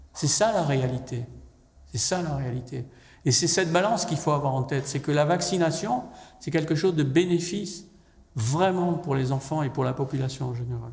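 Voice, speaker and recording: Audible room echo surrounds a man at a moderate pace. His pitch is fairly high, with ordinary pitch variation. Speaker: professor and public health expert on vaccination. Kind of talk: public lecture.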